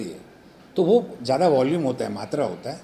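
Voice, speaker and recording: A man's mid-range voice comes through noticeable background noise. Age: 60s. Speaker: doctor and club member. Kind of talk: interview.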